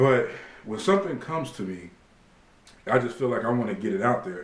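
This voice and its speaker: Talking at a fairly quick pace and a medium pitch, a man swings his pitch very widely and leaves long, frequent pauses. Noticeable background noise and audible room echo fill the recording. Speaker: fitness vlogger. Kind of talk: casual vlog monologue to camera. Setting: at home. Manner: halting, many fillers.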